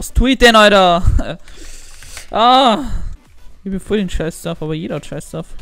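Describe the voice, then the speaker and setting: A man with an Austrian accent talks at a fairly slow pace in a high pitch, with lively intonation and long, frequent pauses. His loudness swings widely, and music plays in the background. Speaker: gaming YouTuber. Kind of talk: casual gameplay commentary.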